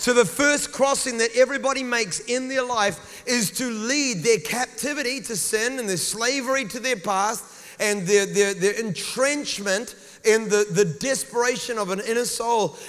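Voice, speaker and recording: An animated man with an extremely high pitch and a New Zealand accent, ordinary pitch variation, a moderate pace and noticeable background noise. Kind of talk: sermon. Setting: church with congregation. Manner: animated, preacherly.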